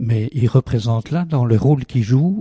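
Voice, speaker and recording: A man's dark, mellow, somewhat breathy voice with ordinary pitch variation comes through dry and close, with no echo and a quiet background. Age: 80s+. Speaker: meditation teacher. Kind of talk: interview.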